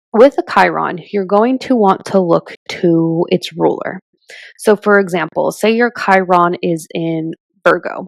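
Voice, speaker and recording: A woman in medium pitch at a very slow pace, with ordinary pitch variation and a dry, close sound with no echo. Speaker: astrologer. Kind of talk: tutorial.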